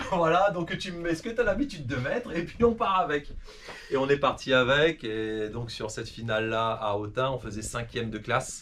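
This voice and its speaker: A man's fairly high-pitched voice with very wide pitch swings, over noticeable background noise. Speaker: rally driver. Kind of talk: interview. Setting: at home. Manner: fast; hesitant, many fillers.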